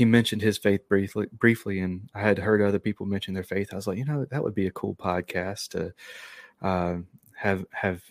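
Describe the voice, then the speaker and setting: A man with a Southern US accent talks at a moderate pace, his pitch fairly low and his intonation fairly even. The recording is very clean and dry, with a close sound, no echo and a silent background. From North Carolina, near Charlotte. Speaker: podcaster. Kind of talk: casual chat.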